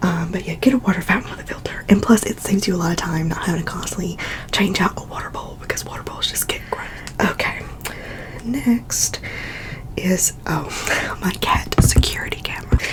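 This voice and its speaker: A woman whispering at a fairly quick pace, with big swings in loudness and noticeable background noise. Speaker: ASMR YouTuber and cat owner. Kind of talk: ASMR whispered chatty product haul. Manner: whispered, relaxing, chatty.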